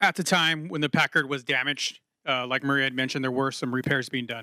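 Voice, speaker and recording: A loud, fairly high-pitched man's voice, bright and sharp in tone, at a fairly quick pace, in a very clean recording with a silent background. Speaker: city water utility staff. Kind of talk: public meeting Q&A.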